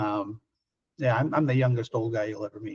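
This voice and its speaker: This man talks at a very fast pace, his voice somewhat breathy and his intonation fairly even. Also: dry, close sound with no echo. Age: 60s. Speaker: film director. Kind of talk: interview. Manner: halting.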